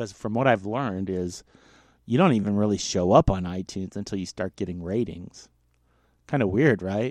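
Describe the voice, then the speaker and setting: An unremarkable speaking voice with ordinary pitch variation. The background is quiet. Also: man, fairly low pitch for a man, moderate pace. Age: 40s. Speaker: solo podcaster. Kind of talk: personal monologue.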